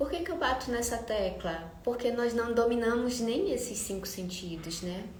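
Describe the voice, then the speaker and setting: A soft-spoken woman talks at a fairly slow pace with ordinary pitch variation. Audible room echo and noticeable background noise surround her. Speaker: architect and live streamer. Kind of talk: live stream talk. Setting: live stream.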